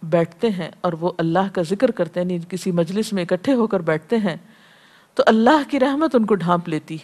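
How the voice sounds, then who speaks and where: Over a quiet background, a woman uses a plain, everyday voice with lively intonation. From Pakistan. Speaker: Islamic scholar and preacher. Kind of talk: religious lecture.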